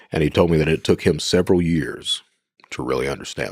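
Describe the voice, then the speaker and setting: A man with an Appalachian accent speaks at a fairly quick pace. His pitch is very deep and low, with vocal fry. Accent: Appalachian Kentucky. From Eastern Kentucky, US. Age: 50s. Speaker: former cybercriminal. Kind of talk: podcast interview. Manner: casual, halting with repetitions.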